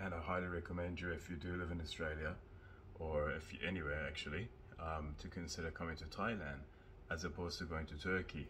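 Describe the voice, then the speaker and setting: A man's very deep, low voice, monotone and flat, at a very fast pace over light background noise. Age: 30s. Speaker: vlogger. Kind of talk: casual vlog. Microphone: phone; phone near.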